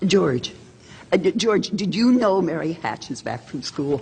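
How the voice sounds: A woman puts on a character voice, fairly low in pitch with vocal fry and a slightly mellow tone. She moves at a fairly slow pace through big pitch swings.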